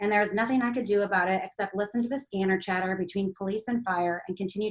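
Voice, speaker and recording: At a very fast pace, a woman speaks at medium pitch with fairly even intonation. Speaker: local author and former news producer. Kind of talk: reading aloud from own book. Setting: video call.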